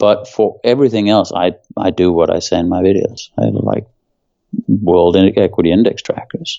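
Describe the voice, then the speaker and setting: With a Danish accent, a man talks at a moderate pace. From Denmark. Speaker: former hedge fund manager. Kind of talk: interview.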